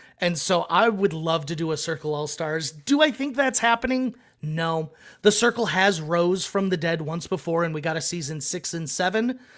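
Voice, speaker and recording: Loud and lively in intonation, a man with a high pitch speaks on a very clean recording with a silent background. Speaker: reality TV contestant. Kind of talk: podcast interview. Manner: fast.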